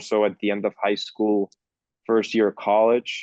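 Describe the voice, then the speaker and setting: At a moderate pace, a man with a Spanish accent speaks in a fairly low pitch. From Peru (Lima), then Miami from age 14. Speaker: film director. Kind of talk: interview. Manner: halting, many fillers and restarts.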